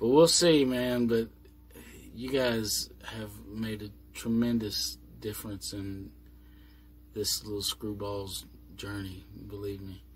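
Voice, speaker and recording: This man talks at a very slow pace with long, frequent pauses and big swings in loudness. His fairly low voice is somewhat breathy, with ordinary pitch variation. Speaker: vlogger living on a boat. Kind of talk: casual vlog monologue. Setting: inside a boat cabin, doors closed.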